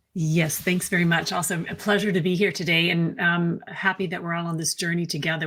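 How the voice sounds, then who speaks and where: Over noticeable background noise, a woman with an American accent speaks very fast in a flat monotone at a fairly low pitch. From United States. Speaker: pharma consultant and company CEO. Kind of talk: panel introduction.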